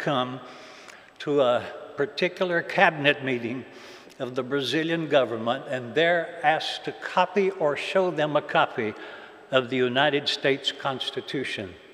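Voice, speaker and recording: Noticeable background noise sits under a man who speaks at a moderate pace with ordinary pitch variation. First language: Portuguese. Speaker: pastor. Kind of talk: church talk.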